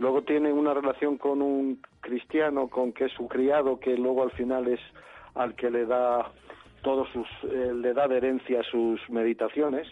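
Fairly slow, monotone, flat intonation from a man. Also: medium pitch for a man. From Madrid. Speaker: stage actor. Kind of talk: interview. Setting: phone call.

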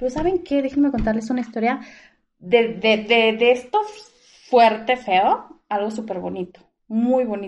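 A woman's normal speaking voice, fairly high in pitch with ordinary variation, at a fairly slow pace. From Mexico, Guadalajara. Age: 30s. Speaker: dental product saleswoman. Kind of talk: casual interview.

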